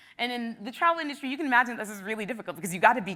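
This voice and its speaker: A high-pitched woman's voice in a Canadian accent, animated in tone with lively intonation. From Canada, Toronto. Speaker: travel blogger and former teacher. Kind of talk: conference talk. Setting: stage with audience. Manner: loud, outgoing.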